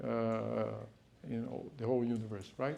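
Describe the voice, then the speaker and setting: A man with a Brazilian accent speaks amid audible room echo. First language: Portuguese. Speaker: speaker on spirituality. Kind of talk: lecture. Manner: hesitant, many fillers.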